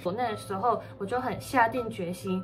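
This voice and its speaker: A woman talks at a moderate pace. Clear music plays behind her. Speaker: vlogger. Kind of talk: casual vlog chat, Q&A. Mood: cheerful, chatty. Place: home room. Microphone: phone near.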